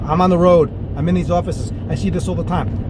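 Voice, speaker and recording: Amid audible room echo and noticeable background noise, a man with an American accent speaks very fast in a medium pitch, his tone animated and his pitch swinging very widely. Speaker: dental practice coach. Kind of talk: solo video monologue on practice management. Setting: on the road. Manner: animated, casual.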